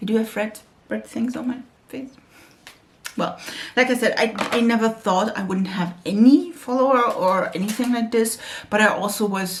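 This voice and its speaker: The voice has a German accent and is somewhat breathy. Its pitch varies in an ordinary way. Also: woman. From Germany. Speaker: beauty YouTuber. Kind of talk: makeup tutorial chat. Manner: halting.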